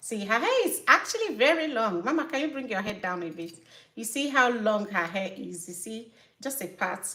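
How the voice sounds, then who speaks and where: With a strong Nigerian accent, a woman speaks at a moderate pace. Her fairly high voice has a bright, sharp tone. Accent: Nigerian, thick. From Nigeria (Igbo). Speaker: natural hair care YouTuber and business owner. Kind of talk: live stream chat. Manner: halting, self-correcting.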